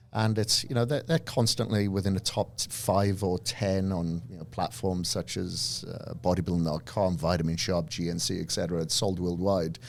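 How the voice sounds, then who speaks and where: In a Welsh accent, a man speaks at a moderate pace with a fairly low pitch and ordinary pitch variation, on a very clean recording with a silent background. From Wales. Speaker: fitness entrepreneur and trainer. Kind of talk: podcast interview.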